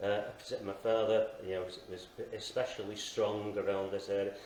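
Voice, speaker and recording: With noticeable background noise and audible room echo, a man with a fairly low pitch talks at a moderate pace. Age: 60s. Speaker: podcast guest. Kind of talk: testimony. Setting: live show in a station lounge. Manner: halting.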